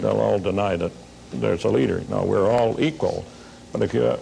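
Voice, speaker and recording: A man's voice with noticeable background noise. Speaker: sociology professor. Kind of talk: panel talk show discussion. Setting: tv studio with audience.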